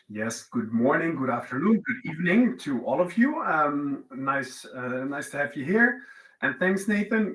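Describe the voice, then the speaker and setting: With a Dutch accent, a man speaks fairly slowly in a fairly high voice with very wide pitch swings, over noticeable background noise. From Netherlands. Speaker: company co-founder, tax lawyer. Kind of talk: webinar presentation.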